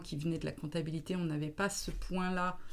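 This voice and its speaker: Fairly quick in pace, a woman uses a plain, everyday voice, fairly low in pitch with ordinary pitch variation. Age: 40s. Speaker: business consultant. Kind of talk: interview.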